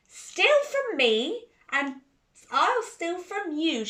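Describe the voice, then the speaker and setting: A female-sounding, put-on character voice swings very widely in pitch, sitting extremely high for a woman and moving at a very slow pace. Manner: hissing, dangerous, threatening.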